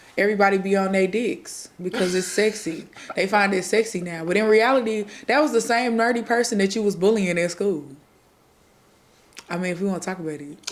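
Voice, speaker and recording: Fairly quick speech with an American accent comes through noticeable background noise. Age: 20s. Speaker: podcast host. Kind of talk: casual chat. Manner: soothing.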